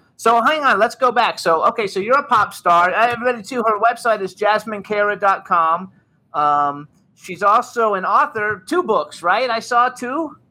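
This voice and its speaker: A man speaks in a raised, projected voice. His pitch is high and his intonation lively. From England. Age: 50s. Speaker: talk show host. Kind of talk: casual chat. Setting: studio.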